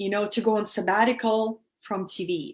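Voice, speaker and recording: At a fairly slow pace, a woman talks in a Russian accent. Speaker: spiritual teacher. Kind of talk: live stream talk to viewers. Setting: live stream via video app. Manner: animated.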